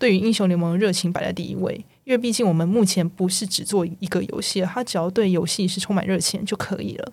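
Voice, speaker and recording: A woman speaks at a medium pitch and fairly quick pace, somewhat breathy, with ordinary pitch variation and hardly any pauses. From Taiwan. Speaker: video game technical artist. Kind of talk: casual interview chat.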